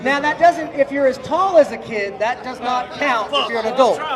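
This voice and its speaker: Shouting loudly in an animated tone, a man speaks at an extremely high pitch and a moderate pace with ordinary pitch variation, amid audible room echo and crowd noise in the background. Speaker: drag racing event host. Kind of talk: live event emcee at driver introductions. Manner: loud, yelling.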